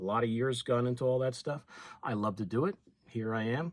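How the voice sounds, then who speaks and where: A man speaks at a moderate pace in an unremarkable speaking voice, medium in pitch with ordinary pitch variation. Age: 60s. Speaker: fishing YouTuber. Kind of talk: casual talk to camera.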